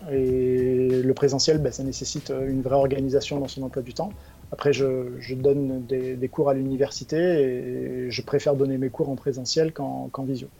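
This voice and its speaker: Against noticeable background noise, a man talks at a moderate pace and medium pitch in a monotone, flat intonation. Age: 40s. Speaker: chief financial officer. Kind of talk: interview. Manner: halting, frequent repetitions.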